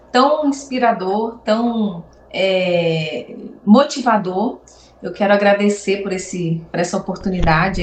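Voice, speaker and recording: A woman's medium-pitched voice with lively intonation at a fairly slow pace, over noticeable background noise. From Brazil, Nova Friburgo (Rio de Janeiro state). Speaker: beauty professional and entrepreneur. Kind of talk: interview.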